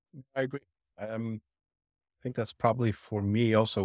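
A man speaks at a fairly quick pace in a fairly low pitch with fairly even intonation, recorded very cleanly against a silent background with a dry, close sound and no echo. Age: 40s. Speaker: podcast host. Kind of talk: interview. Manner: halting.

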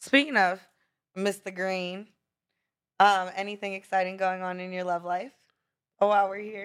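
A woman at a medium pitch and moderate pace, with fairly even intonation, long, frequent pauses and big swings in loudness. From Brownsville, Pennsylvania and Florida. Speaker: lawyer and podcast host. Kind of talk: casual interview chat.

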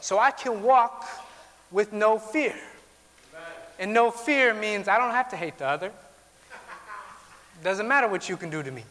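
This man projects a raised, high-pitched voice above noticeable background noise. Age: 20s. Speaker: pastor. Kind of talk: sermon.

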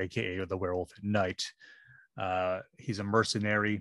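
In a quiet background, a man with a fairly low pitch and a bright, sharp tone speaks at a moderate pace, the sound dry and close with no echo. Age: 40s. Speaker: comic book podcast co-host. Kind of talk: casual chat.

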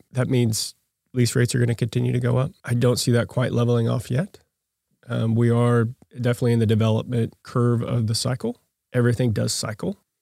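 The sound is dry and close with no echo as a man speaks at a medium pitch with a dark, mellow tone. He talks at a fairly quick pace in a monotone, flat intonation with very even loudness. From Oklahoma (Yukon). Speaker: commercial real estate broker. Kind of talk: casual interview.

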